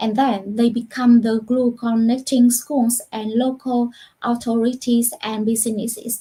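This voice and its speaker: A woman speaks with a Vietnamese accent in a fairly high pitch. Her tone is dark and mellow, her intonation monotone and flat. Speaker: university lecturer. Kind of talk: panel discussion answer. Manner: halting, many fillers.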